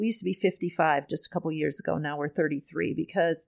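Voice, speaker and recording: On a very clean recording with a silent background and a dry, close sound with no echo, a woman speaks in a very deep, low voice with vocal fry and fairly even intonation. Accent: American. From US Midwest (Wisconsin). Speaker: psychology professor. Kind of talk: interview conversation.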